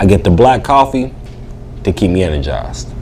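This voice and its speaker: The voice moves at a moderate pace with very wide pitch swings in an American accent. Noticeable background noise runs behind it. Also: man. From West Virginia, Bluefield. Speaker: comedian. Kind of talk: interview. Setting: bar venue. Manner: casual, halting with repetitions.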